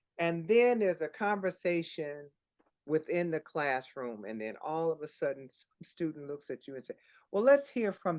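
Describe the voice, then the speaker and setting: With an American accent, a woman at a very deep, low pitch talks at a moderate pace, her pitch swinging very widely and her loudness swinging a lot, over a quiet background. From Chicago, US. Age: 70s. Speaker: author and singer. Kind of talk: interview conversation. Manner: halting, with many restarts.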